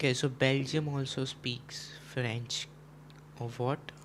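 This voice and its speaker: This man talks at a very slow pace in a medium pitch, sounding somewhat breathy. His intonation stays monotone and flat. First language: Gujarati. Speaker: chess streamer. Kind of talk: casual live stream chat. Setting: live stream.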